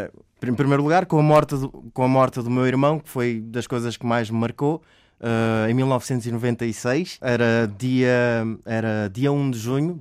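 On a very clean recording with a silent background, a man talks at a fairly slow pace and medium pitch, with fairly even intonation and big swings in loudness. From Mozambique, then Portugal from age 8. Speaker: actor. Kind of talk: interview storytelling. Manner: halting.

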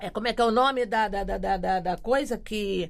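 A woman speaks in a fairly high voice. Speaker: quilombola community activist. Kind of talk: casual interview conversation.

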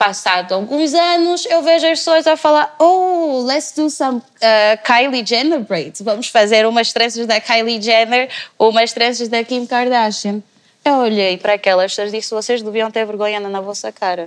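This woman has a normal speaking voice, a fairly high pitch and lively intonation. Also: moderate pace. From Angola. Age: 20s. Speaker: political science student. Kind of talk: panel discussion.

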